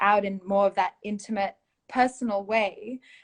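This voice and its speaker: A woman speaks fairly slowly at a fairly high pitch. Her intonation stays fairly even. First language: Malay (one of several mother tongues). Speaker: poet and performer. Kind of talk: interview. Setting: live online stream.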